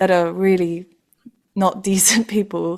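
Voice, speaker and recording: A woman's medium-pitched, ordinary speaking voice with fairly even intonation. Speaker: podcast host. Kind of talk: podcast interview question.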